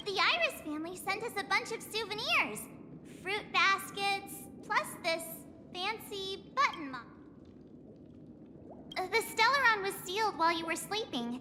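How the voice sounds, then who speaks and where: A put-on character voice at an extremely high pitch moves at a moderate pace with long, frequent pauses, over clear background noise. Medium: video game.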